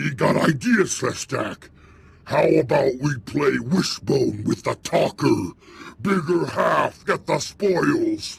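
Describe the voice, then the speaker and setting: Putting on a growling character voice, a man speaks at a very slow pace. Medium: video game. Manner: broken grammar, crude, simple-minded.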